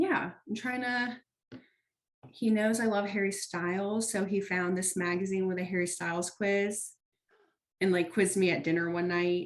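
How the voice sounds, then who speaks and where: The woman has a normal speaking voice with a medium pitch. She keeps a moderate speed and fairly even intonation. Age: 20s. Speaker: podcast co-host. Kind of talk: casual chat.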